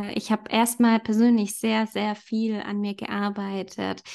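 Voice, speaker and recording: A woman's fairly high voice, monotone and flat, at a moderate pace against a quiet background. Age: 30s. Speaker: yoga teacher. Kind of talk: casual chat.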